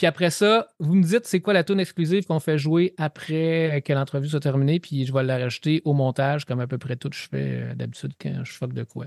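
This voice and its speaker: A man talks at a fairly quick pace and a fairly high pitch, with hardly any pauses. His pitch varies in an ordinary way, and the sound is dry and close with no echo. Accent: Quebec. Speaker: podcast host. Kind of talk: casual interview.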